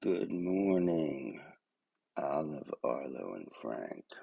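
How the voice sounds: His pitch is very deep and low. The man talks at a very slow pace.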